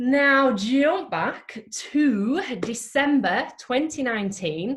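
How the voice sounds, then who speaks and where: A high-pitched woman with a Yorkshire accent and very wide pitch swings. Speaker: event host introducing a guest speaker. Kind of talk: informal British, warm and jokey.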